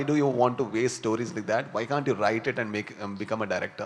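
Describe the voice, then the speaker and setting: A man at a very fast pace with a South Indian accent and ordinary pitch variation. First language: Tulu. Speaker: film actor and filmmaker. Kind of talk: press conference Q&A. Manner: hesitant, many fillers.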